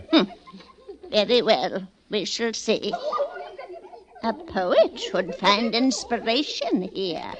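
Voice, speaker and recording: A put-on character voice, female-sounding and fairly high-pitched, at a very slow pace with long, frequent pauses. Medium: old radio play. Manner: imperious, haughty.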